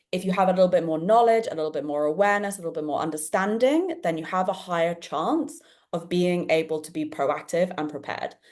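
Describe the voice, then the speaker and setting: A British-accented woman speaks at a fairly quick pace. Her tone is animated and her pitch medium. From England, London. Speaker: podcast host and dyslexia event organiser. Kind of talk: live online panel discussion.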